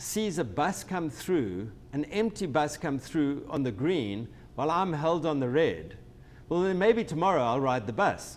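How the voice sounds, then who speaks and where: At a moderate pace, a man with a South African accent moves through very wide pitch swings. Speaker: company president and transportation technology expert. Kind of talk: webinar discussion. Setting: online webinar. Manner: hesitant, many false starts and repetitions.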